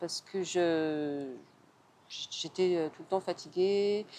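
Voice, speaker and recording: Her voice has a dark, mellow tone, a medium pitch for a woman and fairly even intonation. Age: 60s. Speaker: personal training client, secretary. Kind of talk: interview testimony. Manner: hesitant, many fillers.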